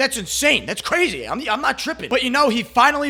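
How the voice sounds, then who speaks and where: Very fast and lively in intonation, a man speaks in a raised, projected voice. His tone is bright and sharp. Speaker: commentary YouTuber. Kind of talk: casual commentary monologue. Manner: halting, stuttering.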